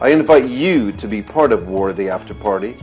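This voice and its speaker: Music plays in the background behind a voice with an American accent. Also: man. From United States. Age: 50s. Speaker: media entrepreneur. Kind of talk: crowdfunding pitch.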